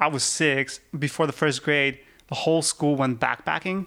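This man has a fairly high pitch and keeps his intonation fairly even. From Russia, Yekaterinburg. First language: Russian. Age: 30s. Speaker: rock climber. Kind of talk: casual chat.

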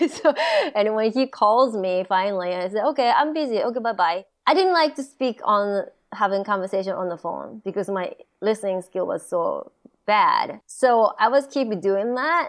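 A woman's fairly high voice with a Japanese accent, lively intonation and a moderate pace against a quiet background. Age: 40s. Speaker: stand-up comedian. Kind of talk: casual chat. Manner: giggly, laughs often.

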